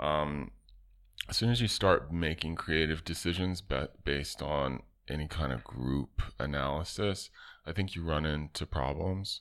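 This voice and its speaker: A man with a very deep, low pitch and ordinary pitch variation speaks fairly slowly in a very clean recording with a silent background. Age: 40s. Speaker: artist and designer. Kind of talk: casual interview.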